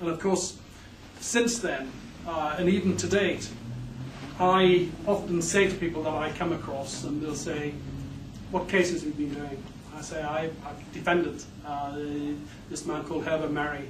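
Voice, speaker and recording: A man with an English accent talks at a moderate pace, his pitch fairly high and his intonation fairly even, with long, frequent pauses. Room echo is audible and background noise is noticeable. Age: 60s. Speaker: criminal defence lawyer. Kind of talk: conference speech. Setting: conference hall. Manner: halting, many fillers.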